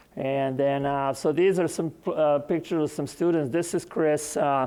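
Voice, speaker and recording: Speaking at a moderate pace with a non-native accent, a man with a fairly high pitch keeps his intonation fairly even. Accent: noticeable foreign. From Serbia. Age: 60s. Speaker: agronomy professor. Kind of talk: conference presentation.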